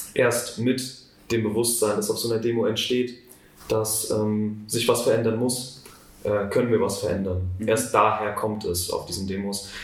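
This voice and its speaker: A man speaks at a moderate pace with medium pitch. His intonation is monotone and flat, and audible room echo surrounds it. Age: 18. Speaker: student climate activist. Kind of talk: interview.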